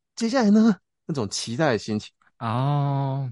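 In a dry, close sound with no echo, a man speaks at a fairly high pitch with very wide pitch swings. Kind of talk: stand-up style joke telling. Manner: animated, storytelling, self-deprecating.

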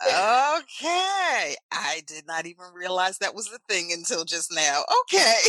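Speaking at a fairly slow pace with hardly any pauses, a woman with an American accent uses a medium-pitched, animated voice with very wide pitch swings and big swings in loudness. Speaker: podcast host, former radio personality. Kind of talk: casual chat.

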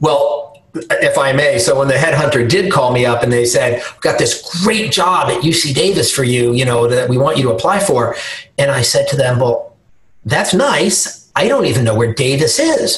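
A man with an American accent talks at a moderate pace. Background noise is noticeable. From New York. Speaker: health system executive and physician. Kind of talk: interview.

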